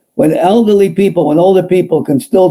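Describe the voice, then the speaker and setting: A man is speaking. His tone is dark and mellow. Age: 60s. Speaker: podcast host. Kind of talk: casual interview.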